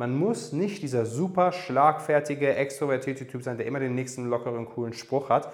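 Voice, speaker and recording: Lively intonation marks this man's speech. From Germany, Darmstadt (Hesse). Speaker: dating coach, podcast host. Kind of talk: Q&A monologue, coaching advice. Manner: casual with frequent fillers (ähm).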